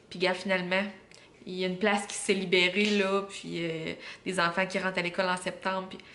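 A woman with a Quebec accent, medium pitch and flat, monotone intonation at a moderate pace, over light background noise. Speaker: vlogger and mother; vlogger. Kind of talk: casual vlog talk to camera. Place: home room. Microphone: camera far.

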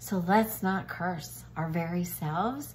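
A woman's fairly low pitch with vocal fry. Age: 60s. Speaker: cooking video host. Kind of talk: casual cooking tutorial with faith encouragement. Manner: animated. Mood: warm, cheerful, earnest. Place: kitchen. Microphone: phone near.

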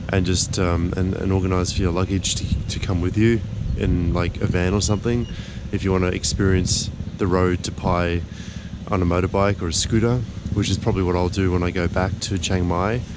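A man's voice, dry with no echo, carries at a moderate pace while noticeable background noise continues. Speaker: travel vlogger. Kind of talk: casual vlog chat. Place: street. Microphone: phone near.

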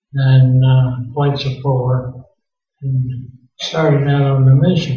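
Audible room echo hangs around the voice. A man speaks at a very slow pace. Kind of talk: interview answer. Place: meeting room.

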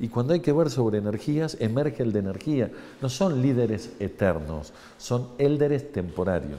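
A man with an Argentine accent speaks at a moderate pace in a dark, mellow tone with lively intonation. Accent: Argentine Spanish (Rioplatense). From Argentina. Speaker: engineer and university lecturer; university lecturer. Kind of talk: interview; interview answer. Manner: explanatory, frequent fillers. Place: hall.

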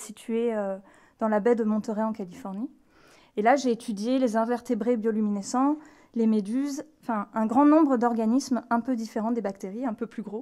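A woman's dark, mellow voice at a fairly high pitch, moderate in pace and fairly even in intonation, over a quiet background. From France, Lyon region; France. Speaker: marine scientist. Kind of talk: public lecture. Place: hall. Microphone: podium.

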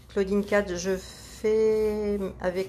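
A woman speaks with light background noise present. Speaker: grandmother reading live comments. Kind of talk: reading out viewer comments. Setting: Facebook live video, behind the camera. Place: workshop. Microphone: camera far.

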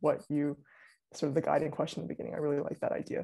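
A woman speaks with a very deep, low pitch and a dark, mellow tone. The background is quiet. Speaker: interviewer. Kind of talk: interview. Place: home room.

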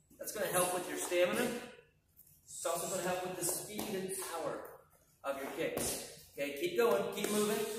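A man at a moderate pace, with strong room echo and noticeable background noise. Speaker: martial arts instructor. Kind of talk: tutorial. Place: gym. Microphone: camera far.

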